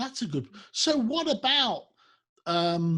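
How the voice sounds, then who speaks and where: With a Birmingham accent, a man speaks very slowly in a bright, sharp tone with very wide pitch swings, on a very clean recording with a silent background. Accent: Brummie. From Birmingham, England. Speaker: business show host. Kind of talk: interview. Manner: halting.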